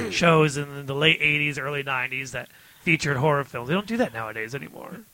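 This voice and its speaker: Noticeable background noise sits behind this man's voice. His pitch is fairly high, with ordinary variation. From Detroit, US Midwest. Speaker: podcast guest.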